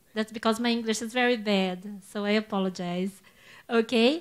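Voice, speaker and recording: Speech comes at a moderate pace. The recording is very clean, and the background is silent. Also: woman. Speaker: professor. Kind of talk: lecture. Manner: halting.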